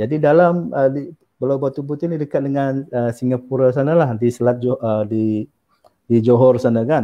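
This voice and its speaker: A man's plain, everyday voice at medium pitch, moderate pace and ordinary pitch variation, against a quiet background. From Sabah, Malaysia. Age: 40s. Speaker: university lecturer. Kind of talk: interview about his book. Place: home room. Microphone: video call.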